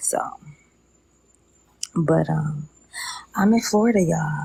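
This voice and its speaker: A woman whispers at a fairly slow pace. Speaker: social media livestreamer. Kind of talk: casual live stream chat. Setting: outdoors on a lanai, live stream. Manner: whispering, talking low.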